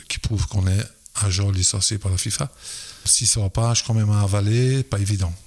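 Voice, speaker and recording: A man's voice, somewhat breathy. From Belgium, Liège area. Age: 60s. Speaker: football players' agent and school educator. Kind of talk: podcast interview. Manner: hesitant, many fillers.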